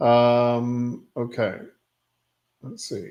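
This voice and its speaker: This man talks at a medium pitch with an English accent. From England. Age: 60s. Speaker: immigration advice streamer. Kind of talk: live Q&A stream. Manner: hesitant, many fillers.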